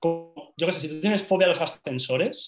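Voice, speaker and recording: At a fairly quick pace, a man speaks with ordinary pitch variation in a plain, everyday voice. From Spain, Valencia. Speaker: social media marketing entrepreneur. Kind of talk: casual interview.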